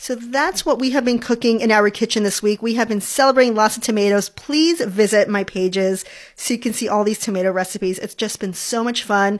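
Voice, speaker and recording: A normal speaking voice moves at a fairly quick pace with hardly any pauses and ordinary pitch variation. The recording is very clean, with a silent background. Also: woman, fairly high pitch for a woman. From New York, then Hawaii as a teen. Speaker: food podcast host, food blogger and cooking instructor. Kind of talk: solo cooking podcast talk. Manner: cheerful, laughs often.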